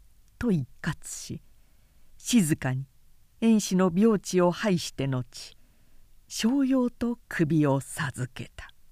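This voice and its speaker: A woman's solemn, fairly low voice at a very slow pace, with very wide pitch swings and big shifts in loudness, on a very clean recording with a silent background and a dry, close sound with no echo. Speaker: narrator reading a novel aloud. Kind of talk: dramatic narration, reading aloud a historical novel. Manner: measured, solemn storytelling pace with forceful delivery in battle and execution scenes.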